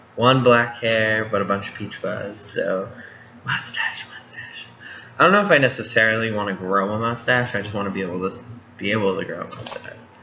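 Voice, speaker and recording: Amid audible room echo and noticeable background noise, a man speaks with fairly even intonation and big swings in loudness. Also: fairly quick pace. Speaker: vlogger. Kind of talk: casual vlog. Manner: halting.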